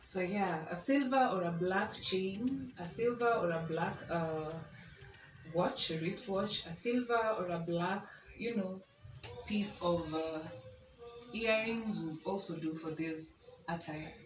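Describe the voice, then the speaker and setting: A woman speaks at a very slow pace and fairly low pitch, with ordinary pitch variation and long, frequent pauses. Music plays in the background, and the room echo is audible. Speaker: fashion vlogger. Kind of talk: casual outfit presentation. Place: home room. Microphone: camera far.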